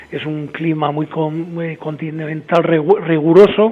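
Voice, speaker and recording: Noticeable background noise sits behind a man's voice. He speaks at a fairly slow pace and a fairly high pitch. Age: 60s. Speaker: winemaker. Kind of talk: interview. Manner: hesitant, many fillers.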